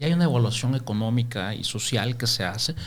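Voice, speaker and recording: A man talks in a somewhat breathy voice, and his pitch varies in an ordinary way. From El Salvador, Santa Ana. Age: 50s. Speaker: microfinance businessman. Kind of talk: interview.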